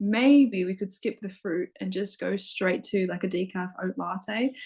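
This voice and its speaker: A woman speaks at a fairly slow pace in a medium pitch, somewhat breathy, with ordinary pitch variation. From Australia. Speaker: spiritual practitioner. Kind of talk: casual chat.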